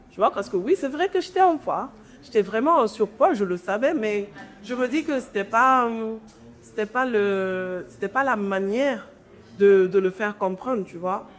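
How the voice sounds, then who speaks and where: With music in the background, a woman speaks fairly slowly in a fairly high voice with lively intonation. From Guinea. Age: 20s. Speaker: entrepreneur and content creator. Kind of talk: interview conversation.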